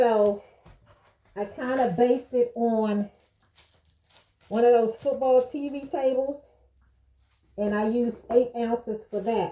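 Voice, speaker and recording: With a dark, mellow tone, a woman speaks at a high pitch with fairly even intonation and long, frequent pauses. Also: fairly slow pace. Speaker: crafter. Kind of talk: tutorial. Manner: casual.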